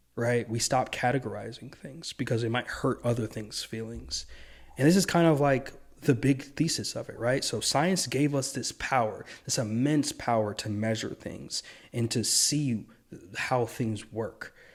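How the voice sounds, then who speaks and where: A man speaks at a medium pitch and moderate pace, somewhat breathy, with ordinary pitch variation. The recording is very clean, with a silent background. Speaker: video essayist. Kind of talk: monologue commentary. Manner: stumbling over words; partly reading from notes.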